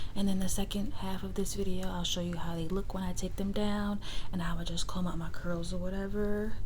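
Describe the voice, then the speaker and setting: Over noticeable background noise, a soft-spoken woman talks at a fairly quick pace in a medium pitch, her relaxed tone paired with monotone, flat intonation. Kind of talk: ASMR soft-spoken rambling to camera. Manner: soft-spoken, relaxed, casual.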